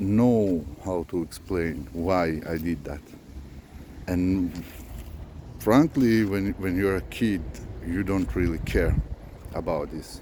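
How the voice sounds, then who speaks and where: A man speaks at a very slow pace in a very deep, low pitch, with ordinary pitch variation. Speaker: spiritual vlogger. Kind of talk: unscripted monologue. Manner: slow, deliberate; halting, many fillers.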